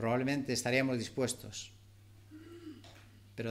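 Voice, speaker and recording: Speaking at a medium pitch, a man's voice carries audible room echo. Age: 60s. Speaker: preacher. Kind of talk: sermon.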